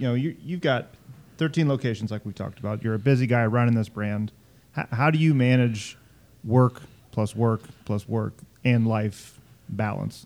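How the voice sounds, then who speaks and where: Pausing long and often, a man talks at medium pitch and a moderate pace with ordinary pitch variation. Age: 40s. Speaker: podcast host. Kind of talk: casual interview chat.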